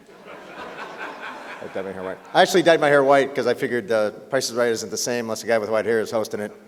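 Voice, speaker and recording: Talking very fast with hardly any pauses, a man at medium pitch shows ordinary pitch variation and big swings in loudness against noticeable background noise. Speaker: game show host. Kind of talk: award presentation speech. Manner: joking.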